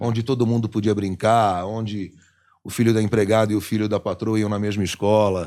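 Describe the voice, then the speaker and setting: A man speaks at a fairly quick clip in a dark, mellow, fairly low voice with monotone, flat intonation, recorded very cleanly against a silent background. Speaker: radio host and voice actor (dubbing). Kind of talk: casual interview answer.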